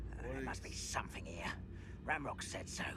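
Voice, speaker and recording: Against loud background noise, a man whispers in a put-on character voice at a fairly quick pace. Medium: game stream. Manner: rough, menacing.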